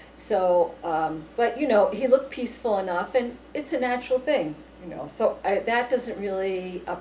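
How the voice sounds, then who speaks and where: A woman's medium-pitched voice, lively in intonation and moderate in pace, with hardly any pauses, big swings in loudness and noticeable background noise. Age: 50s. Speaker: UFO researcher. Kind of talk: interview. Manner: halting.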